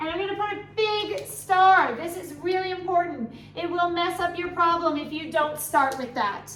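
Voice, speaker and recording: A woman talks with hardly any pauses in an extremely high pitch, with audible room echo in the recording. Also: ordinary pitch variation, moderate pace. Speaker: biology teacher. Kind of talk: revision tutorial.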